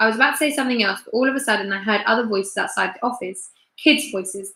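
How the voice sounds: Over a quiet background, the pitch varies in an ordinary way in a natural reading voice.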